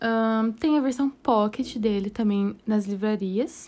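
Speaking at a fairly slow pace, a woman has a plain, everyday voice. Her pitch is fairly high, with ordinary variation. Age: 20s. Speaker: podcast host, aspiring astrophysics student. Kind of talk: casual monologue.

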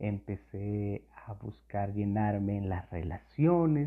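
This man has a fairly low voice and talks at a very slow pace. His pitch varies in an ordinary way. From Colombia. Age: 40s. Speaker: youth pastor. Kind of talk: sermon.

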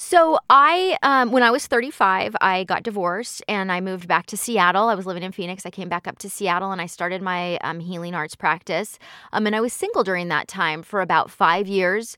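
A woman talks at a fairly quick pace and medium pitch, with hardly any pauses. Her tone is bright and sharp. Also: ordinary pitch variation, big swings in loudness, very clean recording, silent background. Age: 40s. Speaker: hypnotherapist and life coach. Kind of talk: casual interview.

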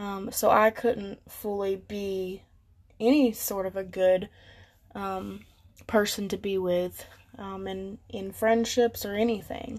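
Here a woman speaks very slowly in a monotone, flat delivery. Her loudness swings widely. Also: medium pitch for a woman, quiet background. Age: young. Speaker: podcast host. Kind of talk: solo motivational talk. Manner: casual, hesitant with fillers.

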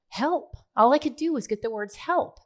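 A woman with an American accent and a normal speaking voice, at a moderate pace with lively intonation. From Oklahoma (Tulsa). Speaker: ministry leader and nonprofit founder. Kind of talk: casual chat. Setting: studio.

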